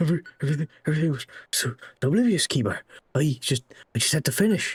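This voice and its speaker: Someone performs a put-on character voice at a middle pitch. The pace is very fast. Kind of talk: sermon-like preaching. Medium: game stream.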